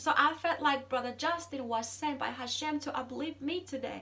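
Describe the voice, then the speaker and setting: Raising and projecting her high-pitched voice, a woman speaks with a bright, sharp tone and fairly even intonation. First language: Zulu. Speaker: vlogger. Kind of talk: casual monologue. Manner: halting, many repeated words.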